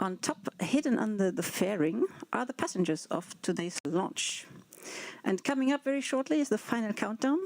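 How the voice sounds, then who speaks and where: A woman with an unremarkable speaking voice talks at a moderate pace, her fairly high pitch carrying lively intonation. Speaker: space agency launch engineer. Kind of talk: live broadcast explanation.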